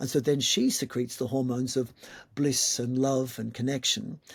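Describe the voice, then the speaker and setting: The speaker goes at a moderate pace in a somewhat breathy voice. The recording is very clean, with a silent background. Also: man. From Malta. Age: 60s. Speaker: yoga teacher. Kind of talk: interview conversation.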